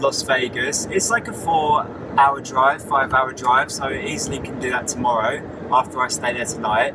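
A man's voice shows ordinary pitch variation while noticeable background noise is present. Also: moderate pace, dry sound with no echo. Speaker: travel vlogger living in his car. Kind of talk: casual vlog chat. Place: car. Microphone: phone near.

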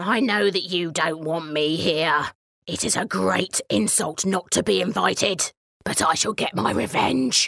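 Putting on a menacing character voice, a woman booms at a fairly low pitch and a moderate pace. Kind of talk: bedtime story. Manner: spiteful, menacing.

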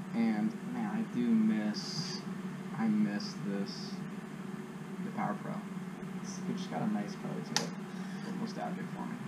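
A man at a fairly slow pace with long, frequent pauses, over loud background noise. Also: ordinary pitch variation. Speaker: angler vlogger. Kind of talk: casual vlog chat. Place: garage. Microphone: camera far.

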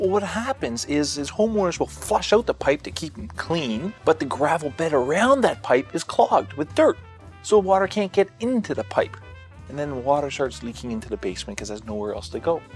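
Faint music plays behind a man who speaks at a fairly quick pace with big swings in loudness, the sound dry with no echo. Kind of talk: interview answer. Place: studio.

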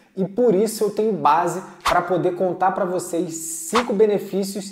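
Music plays in the background as a man speaks at a moderate pace. His voice is high in pitch with fairly even intonation. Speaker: delivery work youtuber. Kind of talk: tutorial-style vlog talk. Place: home room. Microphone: lapel.

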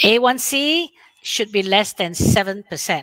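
A woman's medium-pitched, fairly bright voice with lively intonation at a fairly slow pace, dry and close with no echo

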